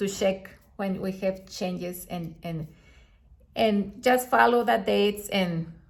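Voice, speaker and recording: A woman speaks at a medium pitch with a non-native accent. Audible room echo surrounds her voice. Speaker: astrologer. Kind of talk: video monologue. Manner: halting.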